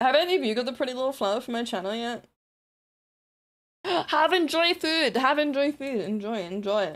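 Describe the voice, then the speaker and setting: A woman with a New Zealand accent speaks in a high, animated voice that swings very widely in pitch. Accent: Kiwi. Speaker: streamer. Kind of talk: casual livestream chat.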